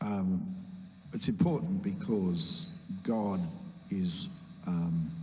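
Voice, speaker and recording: A man speaks very slowly in a room with audible echo, leaving long, frequent pauses. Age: 70s. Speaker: pastor. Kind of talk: interview. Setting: church stage with congregation. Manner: hesitant fillers.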